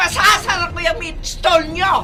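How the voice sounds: Over faint background music, a woman in a put-on character voice speaks extremely high and fairly slowly, her tone bright and sharp and her intonation fairly even.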